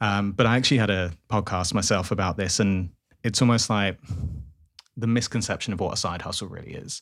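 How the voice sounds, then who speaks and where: Fairly low in pitch, a man speaks in a normal speaking voice. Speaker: ethical clothing founder and marketer. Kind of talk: casual interview chat. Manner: confident, fluent.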